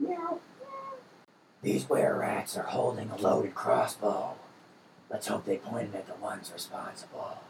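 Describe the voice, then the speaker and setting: Putting on a character voice, a man speaks with long, frequent pauses. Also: moderate pace. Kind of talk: gravelly superhero noir parody. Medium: actual play. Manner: terse, brooding, melodramatic.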